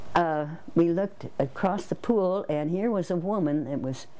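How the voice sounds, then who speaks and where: Her voice has a dark, mellow tone, a fairly low pitch for a woman, and ordinary pitch variation. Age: 80s+. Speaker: former Olympic swimmer. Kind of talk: interview answer. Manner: hesitant, many fillers.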